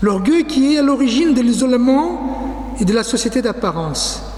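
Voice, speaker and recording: Over noticeable background noise and audible room echo, a man with a non-native accent speaks very slowly at an extremely high pitch with lively intonation. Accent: foreign accent in French. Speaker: pastor. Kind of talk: sermon.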